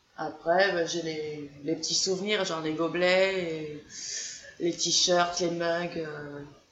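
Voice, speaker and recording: Over noticeable background noise, a woman with a fairly low pitch speaks very slowly in a monotone, flat delivery. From southern France, Gers. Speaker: fan group founder. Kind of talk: casual chat.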